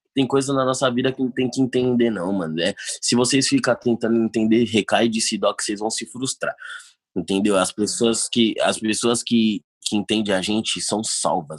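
A man with an ordinary speaking voice talks in a medium pitch at a moderate pace, with ordinary pitch variation. The recording is very clean with a silent background, and the sound is dry and close with no echo. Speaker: trap artist. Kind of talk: casual chat.

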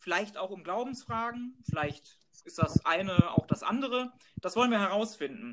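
A man with a high pitch speaks at a moderate pace. His intonation is lively, with big swings in loudness. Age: 30s. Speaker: podcast co-host, neurologist. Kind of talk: scripted podcast trailer.

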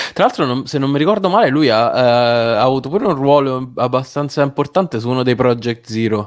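A man with an unremarkable speaking voice talks at a fairly quick pace with hardly any pauses, his medium pitch showing ordinary pitch variation. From Rome. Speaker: writer and podcast co-host. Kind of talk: casual chat.

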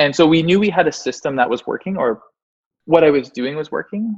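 A man with a Canadian accent talks at a fairly quick pace. He has a plain, everyday voice with ordinary pitch variation. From Canada, Mississauga (Toronto area). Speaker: SEO agency founder. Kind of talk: interview.

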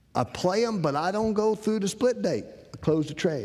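A man with a high pitch and a North Carolina accent, lively intonation, at a moderate pace. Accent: Southern US (North Carolina). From US South, eastern North Carolina. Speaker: trading course instructor. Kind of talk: lecture. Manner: casual, folksy storytelling.

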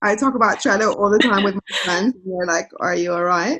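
A woman speaks in a London accent with a bright, sharp tone. Her voice sits at a medium pitch with ordinary pitch variation. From London, England. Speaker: journalist and author. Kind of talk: interview conversation.

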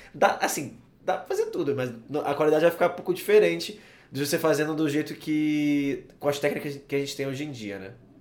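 A man with a slight Carioca accent speaks at a fairly quick pace in a fairly high pitch, with ordinary pitch variation and big swings in loudness. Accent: Carioca (Rio) accent, slight. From Rio de Janeiro, Brazil. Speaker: podcast host. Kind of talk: casual interview chat. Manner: halting, many fillers.

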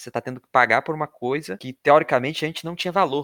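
A man's voice comes through with a bright, sharp tone on a very clean recording with a silent background and a dry, close sound with no echo. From Brazil, Rio de Janeiro. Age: 20s. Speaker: podcast host, environmental engineering student. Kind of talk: casual informative podcast chat.

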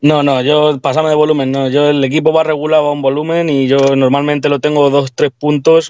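Delivered at a moderate pace, the voice stays monotone with flat intonation. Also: man. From Spain, Castilla-La Mancha (Tomelloso). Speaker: party DJ with car sound system. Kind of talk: interview.

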